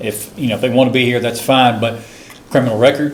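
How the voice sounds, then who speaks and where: Noticeable background noise and audible room echo surround this recording. A man speaks at a medium pitch and a fairly quick pace. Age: 60s. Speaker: forum participant. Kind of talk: group discussion. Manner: halting.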